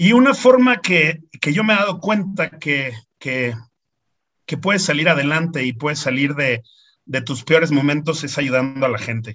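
Lively intonation marks this man's fairly high-pitched voice, delivered at a moderate pace. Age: 40s. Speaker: lawyer and foundation founder. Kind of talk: interview. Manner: halting, with frequent repeated words.

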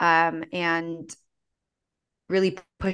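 A woman speaks with a fairly low pitch and a bright, sharp tone. The background is quiet. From Philippines-born, raised in US. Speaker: community founder and activist. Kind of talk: interview.

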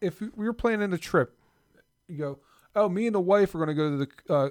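A man with an American accent speaks at a high pitch with ordinary pitch variation and long, frequent pauses. The sound is dry and close with no echo, on a very clean recording with a silent background. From South Jersey / Philadelphia area. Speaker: podcast co-host. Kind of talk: casual chat.

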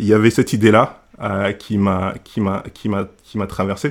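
A man is speaking. His pace is fairly slow. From Senegal. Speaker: church member and food blogger. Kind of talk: casual discussion. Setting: podcast recording. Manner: halting.

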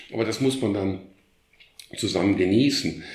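Recorded with audible room echo, a man speaks at a moderate pace with ordinary pitch variation. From Germany, Krefeld (Lower Rhine). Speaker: art historian and former museum curator. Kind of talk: casual interview. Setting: in his living room at home. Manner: halting, many repetitions.

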